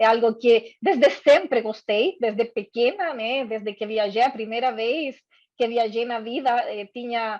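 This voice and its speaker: The speaker has a strong Chilean accent and fairly even intonation. The pace is moderate and the background is quiet. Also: woman. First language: Spanish (speaking Portuguese). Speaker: corporate diversity and inclusion head. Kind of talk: workshop talk. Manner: hesitant, frequent fillers.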